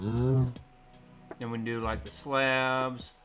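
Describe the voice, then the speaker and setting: A man with a strong Southern Appalachian accent talks at medium pitch amid audible room echo and music in the background. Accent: thick Southern Appalachian. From US South, Southern Appalachia, Tennessee. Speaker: video game streamer. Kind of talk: casual chat. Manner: animated.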